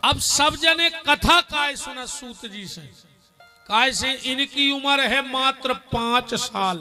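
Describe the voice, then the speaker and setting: A man uses a raised, projected voice at an extremely high pitch, with big swings in loudness. Music plays in the background. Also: ordinary pitch variation. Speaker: religious storyteller. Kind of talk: devotional sermon to live audience.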